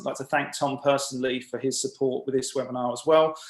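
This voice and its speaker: With an English accent, a man speaks in fairly even intonation. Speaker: webinar host. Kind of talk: webinar introduction and announcements. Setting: video call. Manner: hesitant, many uh fillers.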